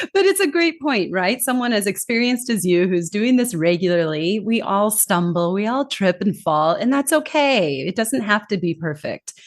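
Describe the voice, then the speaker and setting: Over noticeable background noise, a woman with a Californian accent talks at a moderate pace with hardly any pauses. Her medium pitch moves in very wide swings. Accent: American, from California. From California, US. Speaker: communication trainer and author. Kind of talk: podcast interview. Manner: lively.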